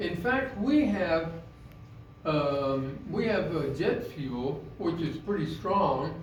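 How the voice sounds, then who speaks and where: A high-pitched man speaking at a very slow pace with lively intonation, plus noticeable background noise and audible room echo. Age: 70s. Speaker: lay preacher. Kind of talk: sermon. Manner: halting, many fillers.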